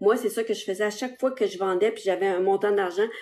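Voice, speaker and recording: Against a quiet background, a woman speaks with a Quebec accent. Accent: Québécois French. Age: 60s. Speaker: social media seller. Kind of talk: live stream sales pitch. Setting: live stream on TikTok and Facebook. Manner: casual, hesitant with many fillers.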